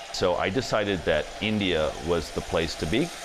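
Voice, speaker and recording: Noticeable background noise sits behind a man with an American accent. His fairly low voice has lively intonation. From US, Maryland (Washington DC suburbs). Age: 30s. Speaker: restaurant entrepreneur. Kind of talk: interview testimony.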